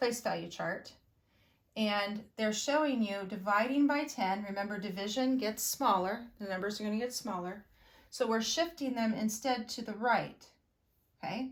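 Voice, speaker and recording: A woman speaks at a moderate pace in a normal speaking voice. Her pitch sits fairly high, with ordinary variation. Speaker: elementary school teacher. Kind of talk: video lesson for pupils. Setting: recorded video lesson.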